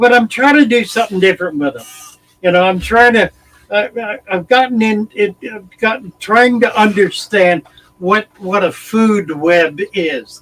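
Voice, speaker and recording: A man's high voice, fairly slow, with ordinary pitch variation and a dry, close sound free of echo. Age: 80s+. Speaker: aquarium hobbyist and YouTuber. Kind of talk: casual chat. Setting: live stream.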